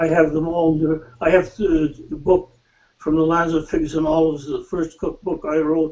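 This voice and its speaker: Monotone, flat delivery from a man at a moderate pace. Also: fairly high pitch for a man. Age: 90s. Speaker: cookbook author. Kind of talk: interview. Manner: halting.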